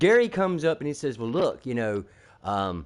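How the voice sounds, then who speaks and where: This man's tone is animated as he talks at a moderate pace. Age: 60s. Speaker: gamer streamer. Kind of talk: casual chat.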